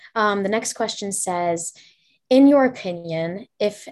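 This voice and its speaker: A woman speaks in a plain, everyday voice with lively intonation. Her pace is fairly slow. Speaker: college student interviewer. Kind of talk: interview for class project. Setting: video call.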